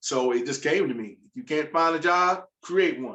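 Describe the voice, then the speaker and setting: Moving at a moderate pace, a man has a normal speaking voice and ordinary pitch variation. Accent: American. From US South, Virginia. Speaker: food entrepreneur. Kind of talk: panel discussion.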